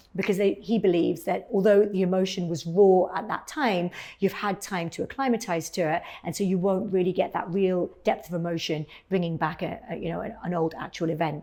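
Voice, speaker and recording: Speaking in a British accent, a woman has a medium pitch and a dark, mellow tone. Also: fairly even intonation, fairly quick pace. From England. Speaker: cosmetic dentist and former actress. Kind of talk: personal storytelling monologue. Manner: many fillers and repetitions.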